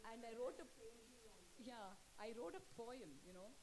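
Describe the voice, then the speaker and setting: Her pitch swings very widely as the woman speaks amid audible room echo. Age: 50s. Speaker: poet. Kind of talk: book launch talk.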